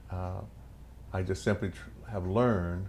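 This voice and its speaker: A man with a very deep, low pitch and vocal fry speaks at a very slow pace with lively intonation. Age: 60s. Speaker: pastor and prostate cancer survivor. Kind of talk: documentary interview.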